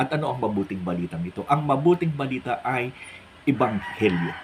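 A man's moderately paced talk comes through noticeable background noise. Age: 60s. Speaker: pastor. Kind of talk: religious monologue vlog.

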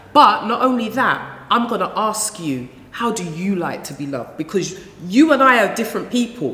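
A woman's fairly high voice at a moderate pace, with very wide pitch swings, big swings in loudness and audible room echo. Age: 40s. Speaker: relationship counsellor; guest. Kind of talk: casual chat. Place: studio.

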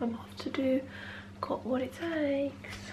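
A woman's voice with noticeable background noise. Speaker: vlogger. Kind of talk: casual vlog chat.

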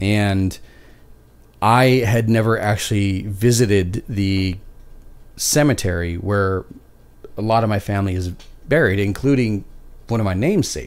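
Speaking with a Canadian accent, a man uses a fairly low pitch and ordinary pitch variation. He goes at a fairly slow pace with long, frequent pauses. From Canada. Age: 40s. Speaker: podcast host. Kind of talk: casual chat. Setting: live stream. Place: home room. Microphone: studio mic.

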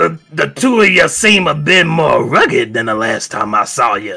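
A man drawls in a high-pitched, put-on character voice at a moderate pace, with faint music in the background. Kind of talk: comic overacting. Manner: folksy, blustering, mock-threatening.

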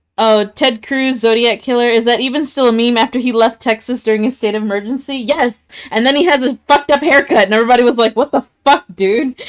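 A speaker with an American accent talks at a very fast pace, with hardly any pauses. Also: woman, high pitch for a woman. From Kansas. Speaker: gaming streamer. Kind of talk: casual chat. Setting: live stream with voice chat. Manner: animated.

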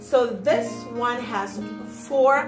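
A woman is heard speaking over clear music in the background. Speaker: product reviewer. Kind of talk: casual product review vlog. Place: home room. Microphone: phone near.

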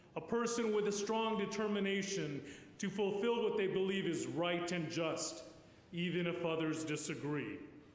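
A man's high-pitched voice at a very even loudness, with audible room echo. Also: ordinary pitch variation, moderate pace. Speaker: priest giving eulogy. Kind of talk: eulogy. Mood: solemn, warm. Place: church. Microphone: podium.

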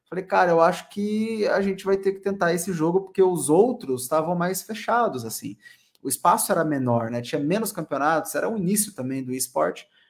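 Against a quiet background, a man speaks with a high pitch. His pace is fairly quick and his intonation lively. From interior of São Paulo state, Brazil (Assis); São Paulo state, Brazil. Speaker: esports caster; interviewee. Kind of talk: casual interview. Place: home room.

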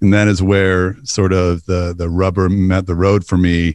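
Speaking at a moderate pace with an American accent, a man has a fairly low pitch, heard against a quiet background in a dry sound with no echo. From US South, Northeast Texas (Bowie County); Texas. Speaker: pastor. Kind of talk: interview. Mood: reflective, personal story. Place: studio. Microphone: studio mic.

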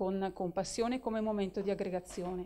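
Speaking at a fairly quick pace, a woman has a dark, mellow tone and monotone, flat intonation. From Italy. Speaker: sports federation presidential candidate; candidate. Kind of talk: interview. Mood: calm, warm, sincere. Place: office. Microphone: handheld.

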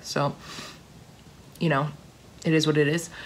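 Speaking at a fairly slow pace, a woman keeps a low pitch with little pitch movement.

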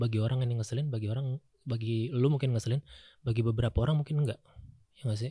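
A soft-spoken man talks very fast in a dark, mellow, somewhat breathy voice with fairly even intonation, breaking it up with long, frequent pauses. The sound is dry with no echo, over a quiet background. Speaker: comedian and host; comedian, host. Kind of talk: casual chat. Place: studio. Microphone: studio mic.

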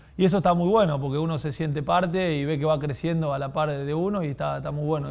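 Pitch shifts in an ordinary way for this man. He gets through his words at a very fast pace. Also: hardly any pauses. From Argentina, southern Santa Fe province. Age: 20s. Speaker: professional football goalkeeper; guest. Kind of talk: podcast interview. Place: studio. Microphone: lapel.

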